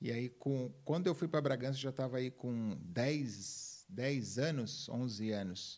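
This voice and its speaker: With hardly any pauses, a man with a plain, everyday voice speaks at a medium pitch with ordinary pitch variation in a very clean recording with a silent background. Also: fairly slow pace. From Minas Gerais, Brazil; raised in São Paulo state from age 10. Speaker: personal development speaker. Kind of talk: interview conversation.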